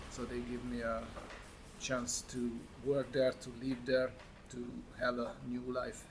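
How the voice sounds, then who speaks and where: A man with a Hungarian accent speaks at medium pitch in a monotone, flat intonation, leaving long, frequent pauses. Noticeable background noise can be heard. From Hungary. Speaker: vlogger. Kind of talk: casual monologue to camera. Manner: halting, many fillers.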